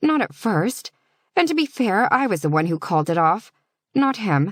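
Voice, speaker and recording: Spoken in a put-on character voice at a moderate pace, the fairly high pitch swings very widely on a very clean recording with a silent background. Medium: read story.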